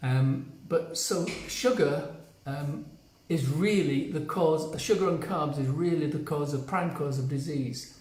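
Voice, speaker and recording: With a British accent, a man speaks at a fairly high pitch amid audible room echo and noticeable background noise. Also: ordinary pitch variation, fairly slow pace. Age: 70s. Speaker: health coach. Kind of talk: live stream talk to viewers. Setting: on vacation, not in usual place.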